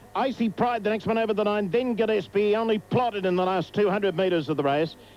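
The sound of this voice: At a moderate pace, a man talks with a high pitch and ordinary pitch variation.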